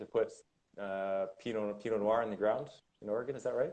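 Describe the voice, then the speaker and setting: He speaks with a Canadian accent. His pitch is fairly low. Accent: Canadian, taken for American. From Canada. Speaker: winemaker. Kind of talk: casual chat. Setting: Instagram live video stream. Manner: halting, many repetitions.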